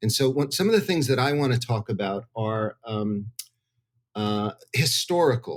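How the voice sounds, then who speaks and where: A man with a normal speaking voice talks at a moderate pace, keeping a medium pitch and ordinary pitch variation. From New Jersey, US. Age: 60s. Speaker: psychedelics researcher. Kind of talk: interview. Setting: hotel room.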